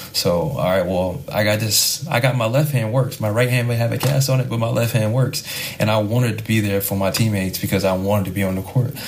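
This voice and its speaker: A man's fairly low voice at a very fast pace with hardly any pauses and ordinary pitch variation, plus audible room echo and noticeable background noise. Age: 20s. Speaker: professional basketball player. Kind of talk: podcast interview.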